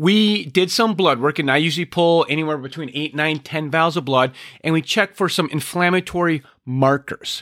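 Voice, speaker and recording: An ordinary speaking voice at a fairly quick pace, with a dry, close sound and no echo. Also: man. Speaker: health practitioner podcaster. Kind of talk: solo health podcast monologue.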